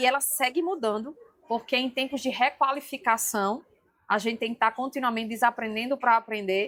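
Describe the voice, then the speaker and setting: Speaking with a strong northeastern Brazilian accent, a woman talks at high pitch and a moderate pace with ordinary pitch variation. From Brazil, Rio Grande do Norte (Northeast). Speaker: leadership trainer and speaker. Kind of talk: podcast interview. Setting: event booth at an education fair.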